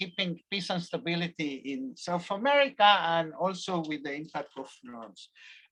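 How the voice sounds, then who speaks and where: A man's bright, sharp voice with a slight Spanish accent, lively intonation and a moderate pace. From Argentina, Buenos Aires. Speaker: professor. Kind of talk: lecture. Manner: halting, many fillers.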